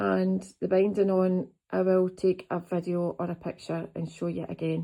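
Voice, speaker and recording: This is a woman speaking. She talks with a Scottish accent. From Scotland. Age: 50s. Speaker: quilter and vlogger. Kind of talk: casual vlog, show-and-tell of crafts. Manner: chatty.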